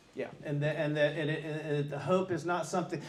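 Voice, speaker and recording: Someone with an American accent speaks at a fairly quick pace while noticeable background noise plays. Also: man. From US Deep South. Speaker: priest leading a parish forum. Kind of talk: group discussion. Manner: halting, many repetitions.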